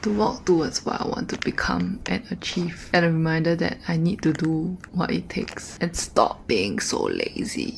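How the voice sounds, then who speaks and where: A moderate pace over noticeable background noise. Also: woman. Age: 20s. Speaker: vlogger, university student. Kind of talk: casual vlog monologue. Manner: animated.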